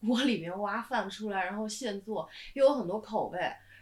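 This woman has a normal speaking voice with ordinary pitch variation. Her pace is moderate. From southern China. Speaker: screenwriter. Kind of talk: casual chat.

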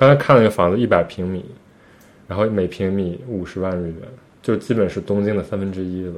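Using an ordinary speaking voice, a man talks at a fairly low pitch and fairly quick pace with fairly even intonation. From China. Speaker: podcast co-host. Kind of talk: casual chat.

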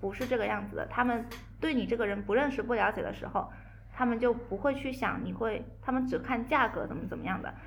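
A woman rattles along at a very fast pace, with audible room echo and noticeable background noise. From Guangzhou, southern China. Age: young. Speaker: coffee brand entrepreneur. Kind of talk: casual chat.

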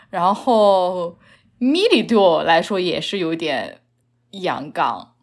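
Over a very clean recording with a silent background, a woman speaks at a very slow pace. Her medium-pitched voice shows ordinary pitch variation. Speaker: podcast guest. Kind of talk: casual chat.

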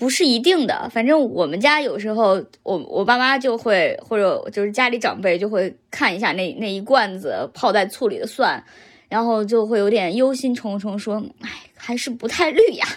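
Lively intonation marks a woman's speech at a moderate pace. The recording is very clean, with a silent background. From Henan, central China. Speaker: podcast host. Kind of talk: casual chat.

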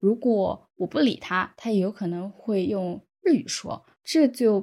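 A woman speaks with a dark, mellow tone and a medium pitch with ordinary variation. The recording is very clean with a silent background. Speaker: software developer. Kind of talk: podcast interview.

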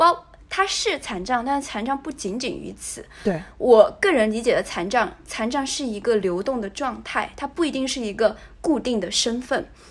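Intonation rises and falls in a lively way as a woman talks in a high register. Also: moderate pace. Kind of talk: casual chat.

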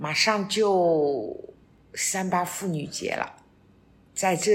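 Talking at a very slow pace, a woman uses ordinary pitch variation. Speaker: retiree, host's mother. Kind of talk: casual chat.

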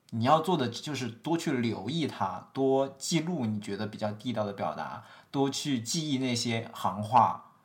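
Lively intonation at a fairly slow pace with hardly any pauses, in audible room echo. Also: man, medium pitch for a man. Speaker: podcast co-host, tech worker. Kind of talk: casual chat.

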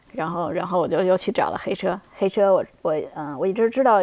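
Speaking at a very fast pace, a woman uses a fairly low pitch and lively intonation. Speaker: software engineer, former UX designer. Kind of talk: interview. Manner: halting, many fillers.

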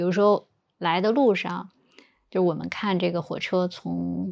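A woman takes her time at a fairly slow pace in a very clean recording with a silent background. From Northeast China, Changchun. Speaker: podcast guest. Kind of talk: casual chat. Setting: recording while on a business trip in Hangzhou.

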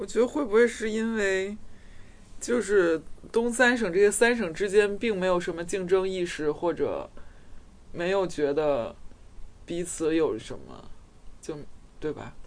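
The speech moves at a fairly slow pace, broken by long, frequent pauses. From Beijing. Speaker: podcast co-host. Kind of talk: casual chat.

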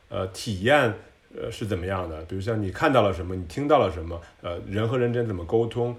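A man rattles off words very fast in a somewhat breathy voice, his pitch varying in an ordinary way. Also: fairly low pitch for a man. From China, Tianjin. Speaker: service designer. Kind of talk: casual chat. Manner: halting.

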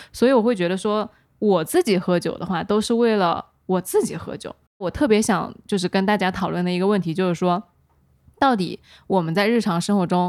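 With ordinary pitch variation and a fairly quick pace, a woman speaks at medium pitch in a very clean recording with a silent background. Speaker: podcast host. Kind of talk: casual chat.

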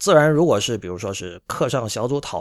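Fairly quick speech from a man, in a very clean recording with a silent background. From China. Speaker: podcast host. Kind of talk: solo commentary monologue. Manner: frequent filler hesitations.

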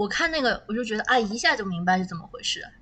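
A woman talks at a very fast pace with lively intonation and a medium pitch. Noticeable background noise runs underneath. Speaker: podcast host. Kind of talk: casual chat. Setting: recording in a warehouse basement.

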